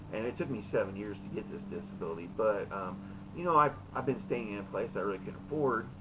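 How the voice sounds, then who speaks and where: A man talks at a very fast pace. Room echo is audible around him. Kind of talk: casual monologue in a live chat room. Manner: halting, with many fillers.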